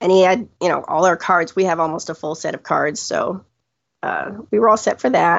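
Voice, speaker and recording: With ordinary pitch variation and a moderate pace, an ordinary speaking voice delivers the words. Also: woman, medium pitch for a woman. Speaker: trip guest sharing Disney visit. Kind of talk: casual interview chat.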